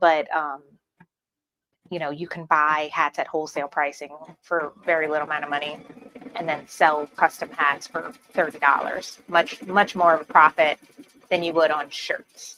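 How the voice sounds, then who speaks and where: A woman with a New Orleans accent, very deep and low in pitch, monotone and flat, at a moderate pace with long, frequent pauses, in a dry, close sound with no echo. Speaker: embroidery tutorial creator. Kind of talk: live-stream tutorial. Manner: casual, filler-heavy.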